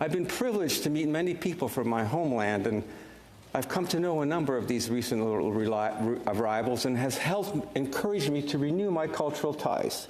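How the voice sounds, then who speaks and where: Speaking at a fairly quick pace, a man with a fairly high voice uses lively intonation at very even loudness, with audible room echo and noticeable background noise. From Canada, Ukrainian refugee family. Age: 70s. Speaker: senator. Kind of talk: parliamentary speech. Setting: senate chamber. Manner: formal.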